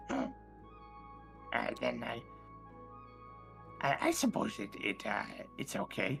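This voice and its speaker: Someone performs a put-on character voice at a fairly slow pace. Clear music plays in the background. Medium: actual play. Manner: hesitant, stammering, polite.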